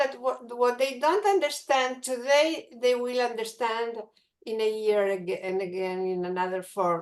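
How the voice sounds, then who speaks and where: Lively intonation runs through this woman's speech. Her pitch is high. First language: Spanish. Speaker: teacher. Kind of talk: audience question in webinar. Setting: video call. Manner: halting.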